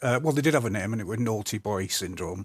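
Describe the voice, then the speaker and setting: A man's fairly low voice comes through dry and close with no echo on a very clean recording with a silent background. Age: 60s. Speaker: neurodiversity advocate and speaker. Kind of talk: interview.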